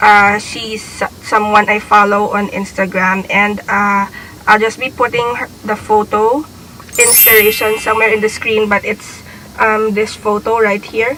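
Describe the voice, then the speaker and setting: This woman talks at a fairly slow pace and a fairly high pitch, in a monotone, flat intonation. Noticeable background noise runs behind her. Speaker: beauty vlogger. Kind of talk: casual vlog intro.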